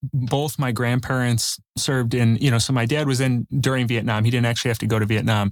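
A man with a Chicago accent, medium-pitched and fairly quick, his intonation fairly even, on a very clean recording with a silent background. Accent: Chicago-area American. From south suburbs of Chicago. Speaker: real estate investor and coach. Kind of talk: interview.

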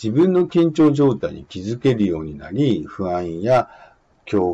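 Speaking at a fairly slow pace, a man with a dark, mellow tone and a medium pitch makes very wide pitch swings. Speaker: exam prep instructor. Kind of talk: lecture. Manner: casual, hesitant with fillers.

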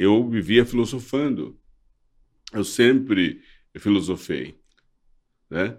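With long, frequent pauses, a man speaks very slowly at a medium pitch and ordinary pitch variation. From Brazil. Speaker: former advertising model and social activist. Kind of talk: interview. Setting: studio. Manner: halting.

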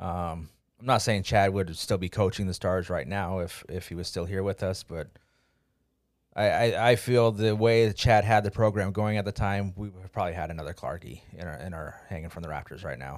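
Very deep, low pitch comes from a man speaking at a moderate pace. His loudness swings widely in a very clean recording with a silent background. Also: ordinary pitch variation. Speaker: podcast co-host. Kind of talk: casual podcast chat. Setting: studio.

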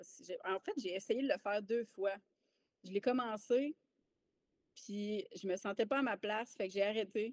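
A woman speaks in an unremarkable speaking voice with ordinary pitch variation. The sound is dry and close, with no echo. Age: 30s. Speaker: army veteran and mindset coach. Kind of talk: casual interview chat.

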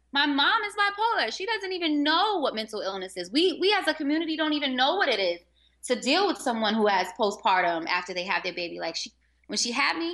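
A woman with a high pitch, a bright, sharp tone and an American accent, raised and projected, at a fairly quick pace with very wide pitch swings, over a quiet background. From Harlem, New York City. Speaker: teacher. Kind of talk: casual interview.

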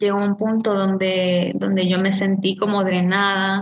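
A woman at a medium pitch, monotone and flat in intonation, at a very slow pace. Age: 30s. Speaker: image consultant and coach. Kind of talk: casual interview.

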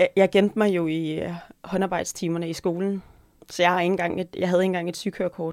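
A woman with a fairly low pitch rattles along at a very fast pace in a monotone, flat intonation. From North Jutland, Denmark. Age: 40s. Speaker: podcast co-host, restaurant owner and cookbook writer. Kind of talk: casual chat.

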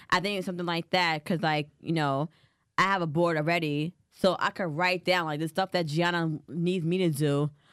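A woman with a fairly low pitch speaks at a moderate pace in a monotone, flat way. The sound is dry and close with no echo, on a very clean recording with a silent background. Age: young. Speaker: podcast co-host. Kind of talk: casual chat.

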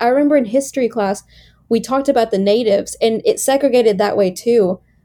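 With ordinary pitch variation, a woman's voice has a dark, mellow tone. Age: 20s. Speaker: podcast co-host. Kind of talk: casual chat.

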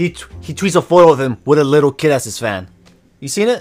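A man's fairly high voice with an American accent, very fast pace and lively intonation, music in the background. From Texas. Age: young (19). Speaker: podcast co-host. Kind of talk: casual chat.

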